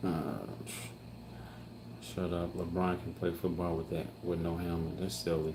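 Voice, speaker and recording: A man's very deep, low voice with an American accent, plus audible room echo. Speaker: family vlogger. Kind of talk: live stream Q&A reading chat. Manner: halting.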